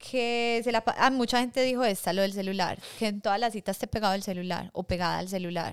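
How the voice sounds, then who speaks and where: In a very clean recording with a silent background, a woman with a normal speaking voice talks at a moderate pace, her pitch fairly high and her intonation fairly even. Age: 30s. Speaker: podcast co-host. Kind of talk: casual chat.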